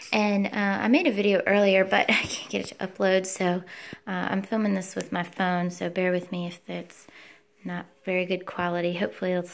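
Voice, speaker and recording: A woman speaks at a fairly quick pace with flat, monotone intonation. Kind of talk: product demonstration. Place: home room. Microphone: phone near.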